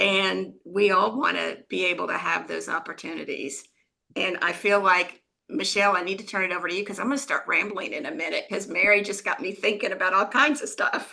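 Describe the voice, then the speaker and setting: A woman at a fairly quick pace, medium in pitch with ordinary pitch variation, a normal speaking voice. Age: 60s. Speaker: company founder, wheelchair user. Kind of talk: panel discussion.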